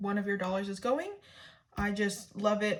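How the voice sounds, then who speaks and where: A woman speaks at a moderate pace. Her medium-pitched voice is somewhat breathy. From Canada. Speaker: budgeting vlogger. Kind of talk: tutorial. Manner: halting.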